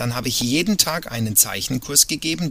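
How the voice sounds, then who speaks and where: In an ordinary speaking voice, a man talks at a moderate pace with medium pitch and lively intonation. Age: 40s. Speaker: cruise ship entertainer and illustrator. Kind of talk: casual interview. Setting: virtual studio, remote call.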